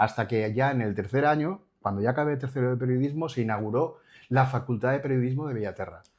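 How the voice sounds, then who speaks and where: Over a quiet background, a man talks at a very fast pace. His pitch is medium, with ordinary variation. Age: 60s. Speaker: journalist. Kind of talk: interview.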